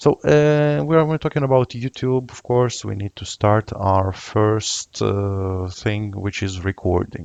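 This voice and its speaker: The voice moves at a fairly slow pace with ordinary pitch variation, in a dry, close sound with no echo against a quiet background. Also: man. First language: not English. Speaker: software tutorial youtuber. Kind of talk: screen-recorded tutorial. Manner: hesitant, many filler uhs.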